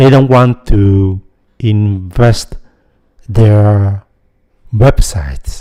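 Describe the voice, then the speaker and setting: Speaking very slowly with long, frequent pauses, a man with a Vietnamese accent uses a fairly low pitch, ordinary pitch variation, and a dark, mellow tone. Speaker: YouTuber, software developer. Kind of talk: casual vlog monologue.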